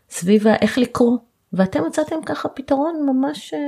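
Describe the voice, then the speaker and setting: A woman's somewhat breathy, dark, mellow voice at a fairly slow pace. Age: 40s. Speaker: podcast host, family lawyer. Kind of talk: interview.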